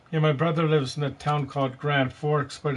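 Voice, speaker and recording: At a moderate pace, a man speaks in a fairly high, somewhat breathy voice with monotone, flat intonation. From British Columbia, Canada. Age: 50s. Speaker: gaming live streamer. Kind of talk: casual chat.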